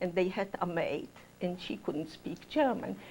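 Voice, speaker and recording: A woman's voice with vocal fry and lively intonation. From Central Europe (Austria/Poland). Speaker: Holocaust survivor. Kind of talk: testimony. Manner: halting.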